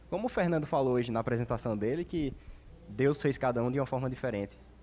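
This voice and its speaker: A man's fairly high voice with lively intonation, in a northeastern Brazilian accent. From Brazil, Northeast. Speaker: teacher at a community discussion. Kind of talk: open panel discussion.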